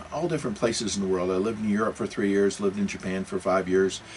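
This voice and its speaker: Clear background noise accompanies a male speaker with an American accent. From US Pacific Northwest, Seattle and Portland. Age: 60s. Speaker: religious podcast host. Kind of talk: casual monologue. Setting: home recording studio. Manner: halting, many repetitions and restarts.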